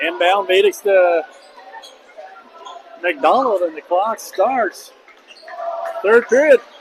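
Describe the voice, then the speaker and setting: Over noticeable background noise, a man speaks very slowly. His intonation is lively. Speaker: high school basketball play-by-play announcer. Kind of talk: live sports commentary. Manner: casual, conversational, some filler words.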